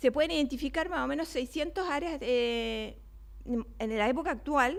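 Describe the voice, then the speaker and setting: A woman speaks with a Chilean accent in a high pitch. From Chile (Valparaíso). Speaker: neuroscience researcher, invited speaker. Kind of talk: lecture. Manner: fast.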